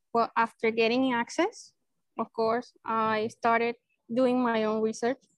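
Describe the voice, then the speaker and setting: In a Spanish accent, a woman talks at a fairly slow pace with a fairly high pitch and flat, monotone intonation, and the sound is dry and close with no echo. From Venezuela (Maracay). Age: 30s. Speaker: neurosurgeon. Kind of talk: casual interview.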